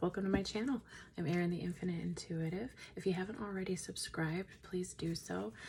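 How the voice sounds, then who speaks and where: A woman speaks in a somewhat breathy voice, fairly low in pitch, with ordinary pitch variation. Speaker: tarot reader. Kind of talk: tarot reading. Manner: slow, with pauses.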